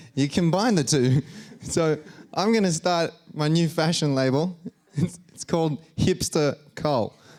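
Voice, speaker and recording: Speaking with an Australian accent, a man talks at a fairly slow pace. His pitch is fairly high, with ordinary variation. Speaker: stand-up comedian and engineer. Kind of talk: stand-up.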